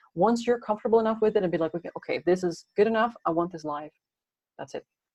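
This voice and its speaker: Speaking at a very fast pace with a Dutch accent, a woman shows big swings in loudness. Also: medium pitch for a woman, ordinary pitch variation, dry, close sound with no echo. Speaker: podcasting coach. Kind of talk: interview.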